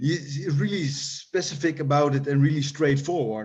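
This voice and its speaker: A man with a Dutch accent talks at a medium pitch and a moderate pace, keeping his intonation fairly even. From Netherlands. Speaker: hardcore punk musician. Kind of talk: interview. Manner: halting.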